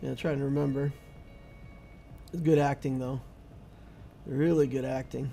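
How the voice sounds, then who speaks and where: Over music in the background, a man with an American accent talks at a fairly high pitch and a moderate pace, monotone and flat, with long, frequent pauses. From US Midwest (South Dakota, then Indiana). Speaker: gaming streamer. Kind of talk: live stream chat. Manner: casual, conversational.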